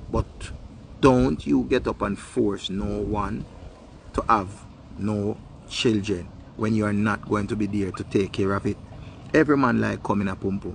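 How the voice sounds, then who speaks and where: Speaking with a Jamaican accent, a man with a fairly low, somewhat breathy voice moves at a moderate pace with ordinary pitch variation and long, frequent pauses, the sound dry with no echo and light background noise behind him. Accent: Jamaican Patois. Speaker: online video host. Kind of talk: casual monologue. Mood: animated, opinionated. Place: garden. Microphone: phone near.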